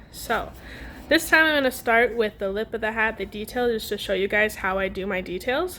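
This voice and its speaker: Speaking at a moderate pace, a woman has an unremarkable speaking voice, fairly high in pitch. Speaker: pottery painting instructor. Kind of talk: tutorial. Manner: casual, filler-heavy.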